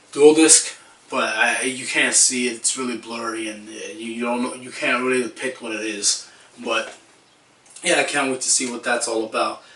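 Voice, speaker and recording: A man at medium pitch and moderate pace, with big swings in loudness and noticeable background noise. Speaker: anime review youtuber. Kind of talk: casual video review. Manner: subdued, less excited than usual; hesitant with fillers.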